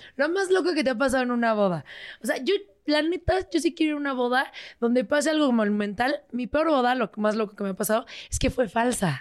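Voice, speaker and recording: A woman speaks at a high pitch and a fairly quick pace. Her tone is animated, with lively intonation. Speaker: podcast host. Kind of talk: casual chat.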